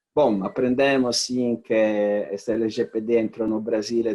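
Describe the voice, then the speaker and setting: A man's medium-pitched voice with an Italian accent, fairly even intonation and a fairly slow pace. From Italy. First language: Italian (speaking Portuguese). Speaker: corporate compliance executive. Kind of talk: webinar presentation.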